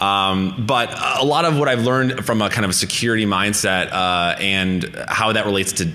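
This is a man speaking. His pitch varies in an ordinary way. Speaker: conference speaker. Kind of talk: lecture. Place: hall.

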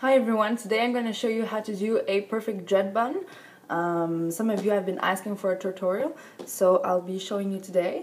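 With a French accent, a woman talks at a fairly quick pace using ordinary pitch variation. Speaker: hair tutorial vlogger; hair tutorial maker. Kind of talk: tutorial. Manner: casual, hesitant with fillers. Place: home room. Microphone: webcam.

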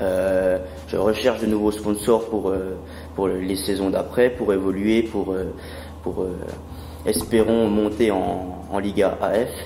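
Very slow speech in a flat monotone, broken by long, frequent pauses, carries an audible room echo. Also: man, fairly low pitch for a man. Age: 20s. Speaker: sports club business developer. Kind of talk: interview.

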